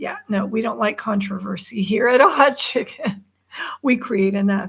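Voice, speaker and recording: With a plain, everyday voice, a woman speaks at a moderate pace in a fairly high pitch and fairly even intonation. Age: 60s. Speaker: livestream co-host. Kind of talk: casual chat.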